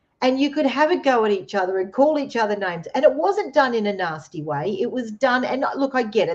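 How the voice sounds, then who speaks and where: Against a quiet background, a woman speaks with an Australian accent. Her pitch is fairly high. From Australia, Queensland (Redcliffe, near Brisbane). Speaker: co-host. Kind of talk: casual chat.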